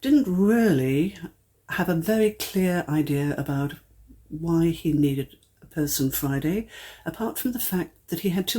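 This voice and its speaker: A woman's normal speaking voice, fairly low in pitch, with lively intonation at a moderate pace. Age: 60s. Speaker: ghostwriter and life story writing teacher. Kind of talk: podcast interview. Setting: recorded at a writers' house.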